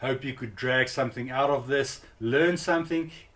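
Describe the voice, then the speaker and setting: The man's voice sits at a medium pitch. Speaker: home cinema YouTuber. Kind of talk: tutorial. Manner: casual, hesitant.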